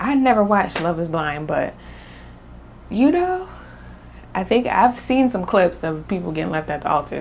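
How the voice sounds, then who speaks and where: Over noticeable background noise, a woman speaks at a medium pitch in an animated tone with lively intonation. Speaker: book reviewer. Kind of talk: casual chat. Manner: stuttering, hesitant.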